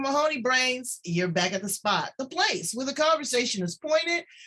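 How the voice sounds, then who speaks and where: A woman projects a raised, high-pitched voice at a moderate pace, her pitch swinging very widely. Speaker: talk show host. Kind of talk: show intro.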